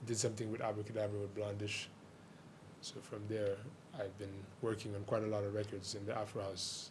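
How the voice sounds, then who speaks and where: Over noticeable background noise and audible room echo, a man speaks at a fairly quick pace in a monotone, flat way, with long, frequent pauses. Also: fairly low pitch for a man. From Haiti (Port-au-Prince). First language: Haitian Creole. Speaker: DJ and music producer. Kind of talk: radio interview. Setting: radio studio.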